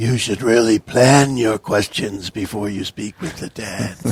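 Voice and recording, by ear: Using a put-on character voice, a man speaks at a moderate pace in a medium pitch.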